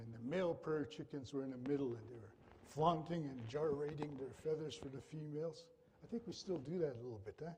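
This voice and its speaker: A man's voice sounds somewhat breathy. He talks very fast. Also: fairly high pitch for a man, ordinary pitch variation. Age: 60s. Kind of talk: storytelling introduction at a performance.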